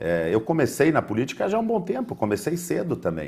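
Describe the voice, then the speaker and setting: A man is speaking. His tone is dark and mellow. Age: 40s. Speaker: mayoral candidate. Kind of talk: political debate. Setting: TV studio. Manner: formal.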